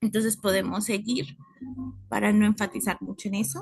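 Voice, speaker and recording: Vocal fry runs through a woman's fairly high-pitched voice. She talks at a fairly slow pace with lively intonation. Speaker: university student. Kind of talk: class presentation.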